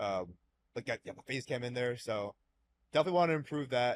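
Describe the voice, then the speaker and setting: With lively intonation and a medium pitch, a man speaks in a dry, close sound with no echo. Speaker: sports card YouTuber. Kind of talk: casual chat. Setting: podcast recorded live at a card show. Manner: calm, hyped at times.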